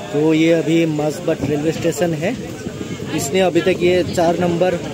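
A man speaks with crowd noise in the background. The sound is dry, with no echo. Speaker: travel vlogger. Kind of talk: casual vlog chat. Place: train. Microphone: phone near.

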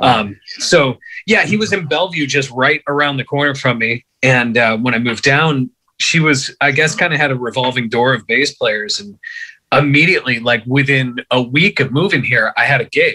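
At a moderate pace, a man speaks in a bright, sharp tone with ordinary pitch variation. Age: 30s. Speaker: bass player; podcast guest. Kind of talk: casual chat. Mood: relaxed, reflective. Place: home room. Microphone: phone near.

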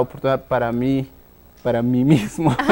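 Pitched fairly high, a man speaks with ordinary pitch variation. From Guatemala, Huehuetenango highlands; Guatemala. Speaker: tech entrepreneur; guest. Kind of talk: interview. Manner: halting, many fillers. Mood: reflective, storytelling. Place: studio. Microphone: lapel.

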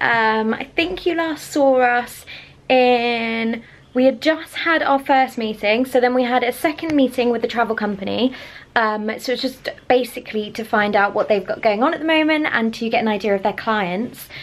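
At a moderate pace, a woman speaks with a high pitch and ordinary pitch variation. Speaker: vlogger. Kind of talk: casual vlog chat. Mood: relaxed, chatty. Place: home room. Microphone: phone near.

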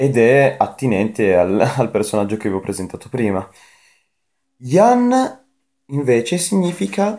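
Against a quiet background, a man talks at a fairly slow pace, his pitch swinging very widely. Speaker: anime youtuber. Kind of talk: casual vlog chat. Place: home room. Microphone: webcam.

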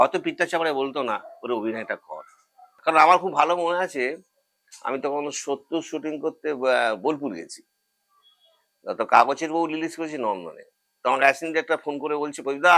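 The man's voice has a bright, sharp tone. It sits at a fairly high pitch for a man. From Howrah, West Bengal, India. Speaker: actor. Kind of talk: life story interview.

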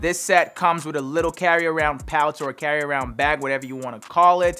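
A man speaks at a fairly quick pace with ordinary pitch variation, faint music playing in the background. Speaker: fitness creator. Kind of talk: product intro / tutorial chat. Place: home room.

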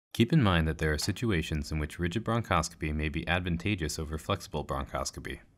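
A man with a very deep, low pitch and ordinary pitch variation, at a very fast pace with hardly any pauses, in a very clean recording with a silent background. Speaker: medical educator narrating a training module. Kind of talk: scripted narration. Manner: formal.

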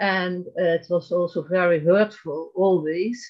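A woman speaks with a Dutch accent at medium pitch. The background is quiet. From Netherlands. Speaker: abuse survivor; interview guest. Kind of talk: testimony. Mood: earnest, recounting trauma. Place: home room. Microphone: video call.

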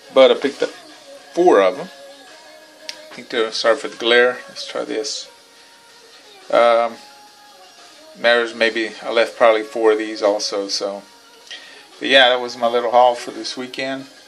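A man talks at a fairly slow pace with fairly even intonation and long, frequent pauses, faint music playing in the background. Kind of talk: casual vlog chat. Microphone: phone near.

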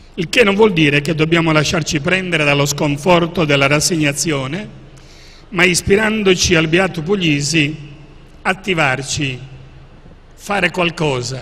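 With noticeable background noise behind him, a man talks at a fairly slow pace with long, frequent pauses, his fairly high pitch showing ordinary variation. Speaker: archbishop and author. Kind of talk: book presentation talk.

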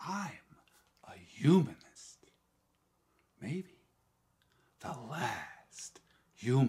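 Against a quiet background, a man speaks at a very slow pace with vocal fry. His tone is dark and mellow, and his intonation is lively. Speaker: amateur actor performing a monologue. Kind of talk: dramatic acted monologue. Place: home room.

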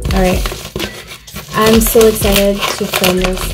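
The pace is fairly slow. Music plays in the background. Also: woman. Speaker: vlogger. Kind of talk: casual vlog chat. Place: home room. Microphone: phone near.

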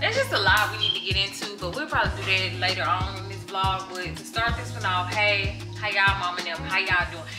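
Music comes through clearly behind the speaker. She is a woman talking at a moderate pace. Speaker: vlogger. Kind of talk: casual vlog chat. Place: kitchen. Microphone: phone near.

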